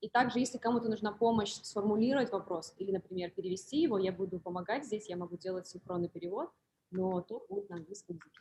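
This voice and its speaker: At a very fast pace, a woman speaks at a medium pitch with a somewhat breathy voice, ordinary pitch variation and big swings in loudness. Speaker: moderator and interpreter. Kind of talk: hosting a live Q&A talk.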